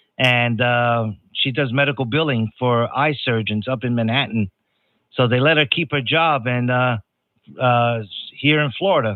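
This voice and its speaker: A man with a New York accent speaks at a medium pitch. His loudness stays very even. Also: ordinary pitch variation, moderate pace. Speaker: ham radio operator. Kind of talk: ham radio contact. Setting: radio transmission. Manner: halting, many fillers.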